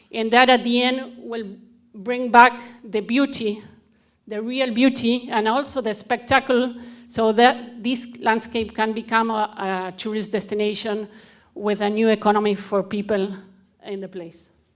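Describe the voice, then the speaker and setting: Speaking in a Spanish accent, a woman has a fairly high pitch and fairly even intonation. Her pace is fairly slow, with big swings in loudness. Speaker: conservationist. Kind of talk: conference presentation. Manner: halting.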